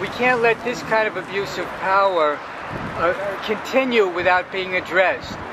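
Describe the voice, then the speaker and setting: Man with an American accent and ordinary pitch variation, against noticeable background noise. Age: 60s. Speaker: military veteran and peace activist. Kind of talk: street interview. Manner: animated.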